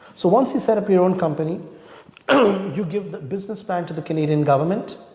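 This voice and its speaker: Noticeable background noise, audible room echo, and a high-pitched male voice. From India. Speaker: immigration lawyer. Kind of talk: interview. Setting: live online talk.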